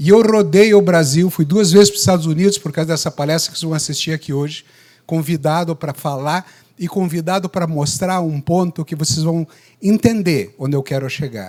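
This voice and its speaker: This man has an unremarkable speaking voice, pitched fairly high, with ordinary pitch variation and a moderate pace. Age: 60s. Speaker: obstetrician. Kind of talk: lecture. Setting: stage with audience.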